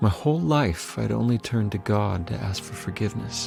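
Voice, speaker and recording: A man is speaking. Music plays in the background. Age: 40s. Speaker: recovering addict, church member. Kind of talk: personal testimony narration. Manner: earnest, reflective.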